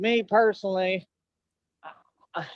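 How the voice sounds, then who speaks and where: This is a man speaking with a Texan accent. His pace is fairly slow. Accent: Texan drawl. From Texas. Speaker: streamer. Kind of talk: casual chat.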